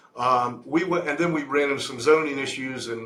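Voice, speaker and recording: A man speaks with a fairly high voice and fairly even intonation. The room echoes audibly, and background noise is noticeable. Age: 60s. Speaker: real estate investment sponsor. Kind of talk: interview. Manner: halting.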